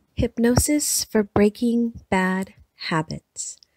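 A woman talks in a calm, soothing tone, somewhat breathy, with fairly even intonation and a dry, close sound with no echo. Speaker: hypnotherapist, guided hypnosis host. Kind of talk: guided hypnosis. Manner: slow, calm, soothing.

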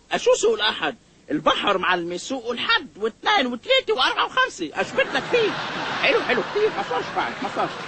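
Putting on a character voice, a man races at a very fast pace in an extremely high pitch with vocal fry, a bright, sharp tone and very wide pitch swings.

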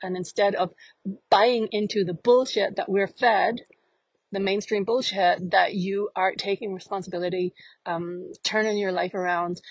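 A woman speaks at a medium pitch and moderate pace with fairly even intonation. The sound is dry with no echo, over a quiet background. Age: 50s. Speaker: life coach. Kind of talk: monologue to camera. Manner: halting. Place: forest. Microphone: earbuds.

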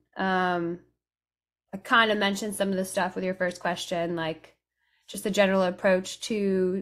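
a woman with an American accent, monotone and flat, against a quiet background. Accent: sounds American. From raised between England, France and Italy. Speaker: Americana musician, banjo and guitar player; guest. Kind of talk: interview, casual chat. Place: home room. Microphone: studio mic.

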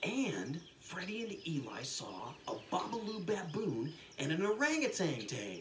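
A passage is read aloud in a natural voice.

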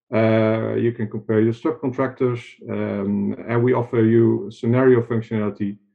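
Against a quiet background, a man talks at a moderate pace. His intonation stays fairly even. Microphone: webcam.

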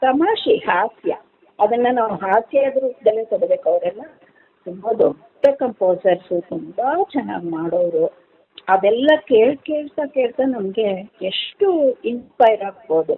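Lively intonation runs through a woman's normal speaking voice, pitched fairly high. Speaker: retired radio singer. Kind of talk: interview.

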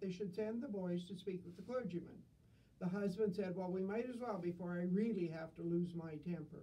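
A natural voice, reading aloud

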